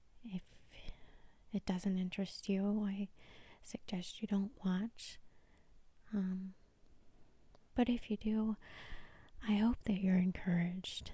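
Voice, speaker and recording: A woman speaks very slowly, with long, frequent pauses and monotone, flat intonation. Her medium-pitched voice is somewhat breathy, with a dark, mellow tone. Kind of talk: soft-spoken Bible reading and reflection. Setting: studio, ASMR-style recording. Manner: soft-spoken, relaxing.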